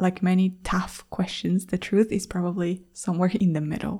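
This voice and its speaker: Somewhat breathy and fairly slow, a woman talks at a medium pitch in a dark, mellow tone. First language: Spanish. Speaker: language teacher and podcast host. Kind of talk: educational monologue for English learners.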